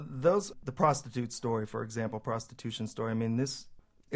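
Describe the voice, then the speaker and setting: With a West Coast accent, a man talks at a fairly quick pace. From California, San Jose. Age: 40s. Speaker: journalist and newspaper founder. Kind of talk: radio interview.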